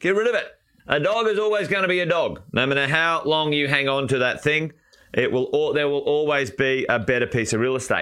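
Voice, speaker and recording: A man with an Australian accent speaks at a fairly quick pace in a fairly high voice, animated and with lively intonation. His loudness stays very even on a very clean recording with a silent background. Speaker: property investment coach. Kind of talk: live stream chat with viewers. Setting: live stream.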